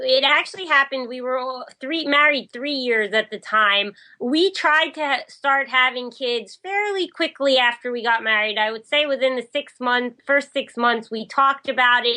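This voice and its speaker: A woman's raised, projected voice, high-pitched with a bright, sharp tone and hardly any pauses. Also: ordinary pitch variation, moderate pace. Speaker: newlywed relationship writer, podcast guest. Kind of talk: interview.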